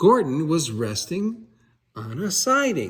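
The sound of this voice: The speech moves at a slow pace with big pitch swings. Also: man.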